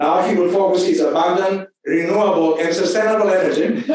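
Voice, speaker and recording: This man has a Greek accent. His pitch is high. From Greece. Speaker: university dean. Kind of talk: ceremonial speech. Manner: halting.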